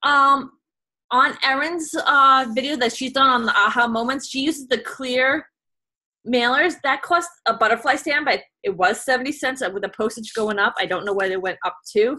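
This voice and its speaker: A raised, projected voice with a bright, sharp tone and ordinary pitch variation. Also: woman, high pitch for a woman. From New York. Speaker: direct sales consultant. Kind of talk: video call presentation. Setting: video call. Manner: fast.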